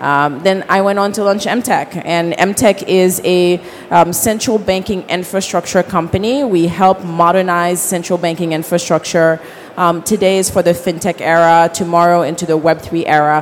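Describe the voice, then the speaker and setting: A woman with a fairly low pitch talks at a moderate pace with fairly even intonation over noticeable background noise. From Haiti. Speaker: fintech founder and CEO. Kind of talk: conference panel discussion. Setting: conference stage with audience.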